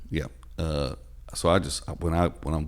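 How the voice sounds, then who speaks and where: A man speaks with a Southern US accent. His pitch is very deep and low. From US South. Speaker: podcast host and comedian. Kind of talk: casual chat.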